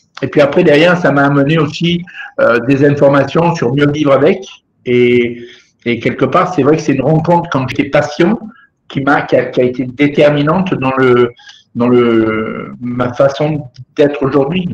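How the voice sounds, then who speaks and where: Ordinary pitch variation from a man with a fairly high voice, delivered fairly slowly. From southern France. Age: 60s. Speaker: former smoker and patient association member. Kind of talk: webinar testimony. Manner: halting, with many repetitions.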